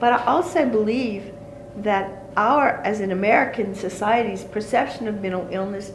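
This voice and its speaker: A woman speaks at a moderate pace with audible room echo. There is noticeable background noise as well. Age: 60s. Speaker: folk healer. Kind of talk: interview.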